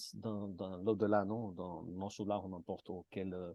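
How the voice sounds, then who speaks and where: With a Martinican accent, the voice has a dry, close sound with no echo. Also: man. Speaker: participant in a spiritist study group. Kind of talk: group discussion. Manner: halting, many repetitions and hesitations.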